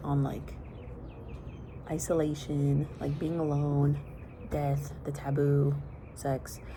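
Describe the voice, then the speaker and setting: The speaker is a woman. Her voice carries audible room echo. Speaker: vlogger. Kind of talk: casual vlog monologue. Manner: soft-spoken.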